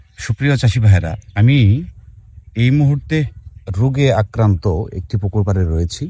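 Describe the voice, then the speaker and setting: Somewhat breathy and dark and mellow in tone, a man's medium-pitched voice moves with lively intonation. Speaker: fish farming video host. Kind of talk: on-site educational video. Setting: outdoors at a pond.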